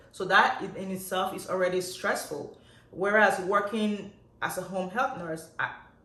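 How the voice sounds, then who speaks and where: A woman's medium-pitched, animated voice with big swings in loudness, amid noticeable background noise and audible room echo. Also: moderate pace. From Nigeria. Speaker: nurse. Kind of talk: vlog monologue.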